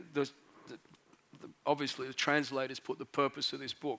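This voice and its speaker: The speaker is a man with an Australian accent and a fairly high pitch. The sound is dry and close, with no echo. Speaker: pastor. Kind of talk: sermon. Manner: halting, many fillers.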